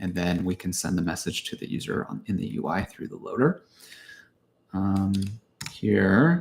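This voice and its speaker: A man mumbles his words. He leaves long, frequent pauses. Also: moderate pace. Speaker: software developer live streaming coding. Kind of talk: live coding tutorial. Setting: live stream with screen share. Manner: mumbling.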